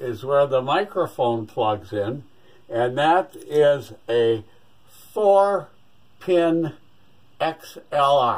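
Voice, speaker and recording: The man talks very slowly. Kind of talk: tutorial. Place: workshop. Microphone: phone near.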